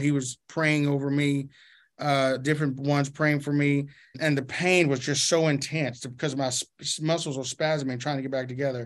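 A man with a Southern US accent speaks at a moderate pace in a fairly high pitch. His intonation is monotone and flat, over a quiet background. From Arkansas. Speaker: pastor. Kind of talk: interview.

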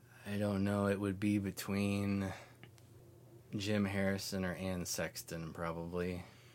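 A man with an American accent speaks at a fairly slow pace and a fairly low pitch. His intonation is monotone and flat, and the room echo is audible. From northwestern Oklahoma, small town. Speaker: poet. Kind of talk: poetry reading; casual interview chat.

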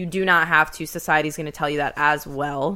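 A woman's very deep, low voice with vocal fry and a bright, sharp tone, at a fairly quick pace on a very clean recording with a silent background. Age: 20s. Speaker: podcast co-host. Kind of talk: casual chat. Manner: animated.

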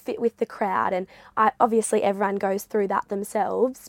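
A woman's fairly high voice with an Australian accent, monotone and flat, at a moderate pace, in a dry, close sound with no echo on a very clean recording with a silent background. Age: 20s. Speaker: former school captain, university student. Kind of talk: interview.

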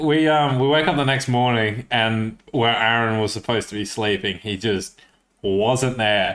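A man speaks with an Australian accent at a medium pitch. His pace is very slow, with ordinary pitch variation. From Australia, Coffs Harbour, New South Wales. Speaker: podcast host. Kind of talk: casual chat.

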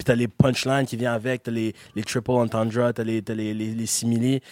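Speaking at a moderate pace, a man holds a medium pitch with monotone, flat intonation. The sound is dry and close, with no echo. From Quebec, Gatineau. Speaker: rapper and beatmaker. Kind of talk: interview. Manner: casual, filler-heavy.

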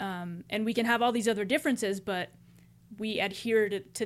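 A plain, everyday voice speaks with an American accent at a moderate pace, with ordinary pitch variation. The recording is very clean, with a silent background. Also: woman. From US. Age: 20s. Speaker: podcast co-host. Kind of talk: casual chat.

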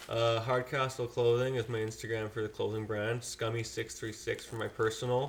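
A man with a western Canadian accent talks at a moderate pace and a medium pitch, barely pausing. His intonation is flat and monotone. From Fort McMurray, Alberta, Canada. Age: 20s. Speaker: pro freestyle motocross rider. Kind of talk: casual chat.

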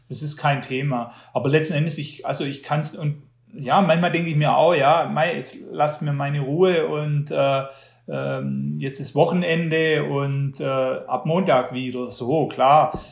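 Audible room echo surrounds a man's voice. He speaks at a fairly slow pace and a fairly high pitch. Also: fairly even intonation. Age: 40s. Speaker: magazine publisher and trail runner. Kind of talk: interview. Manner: hesitant, repeats words.

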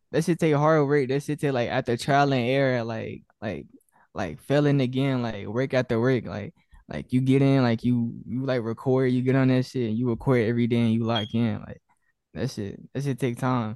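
Speaking at a moderate pace with a Southern US accent, a man keeps a medium pitch and fairly even intonation. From Arkansas, Little Rock. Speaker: rapper, collective member. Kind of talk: casual interview. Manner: hesitant, filler-heavy.

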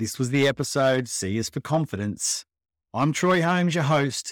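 Recorded very cleanly against a silent background, a man with an Australian accent speaks at a fairly high pitch with ordinary pitch variation. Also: dry, close sound with no echo. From Australia, Melbourne. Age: 40s. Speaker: podcast host sharing his cancer story. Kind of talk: personal testimony monologue. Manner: casual, conversational.

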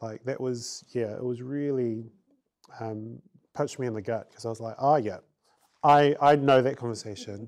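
In a New Zealand accent, a man speaks at a medium pitch and a moderate pace with fairly even intonation. His loudness swings widely, and he takes long, frequent pauses. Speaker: guest host. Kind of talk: casual chat.

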